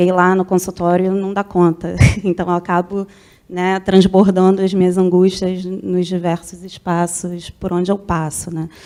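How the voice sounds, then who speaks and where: A woman with a Rio de Janeiro accent speaks fairly slowly at a medium pitch, her dark, mellow tone held in a flat monotone. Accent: Rio de Janeiro (carioca). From Rio de Janeiro, Brazil. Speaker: university professor. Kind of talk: question at a conference debate.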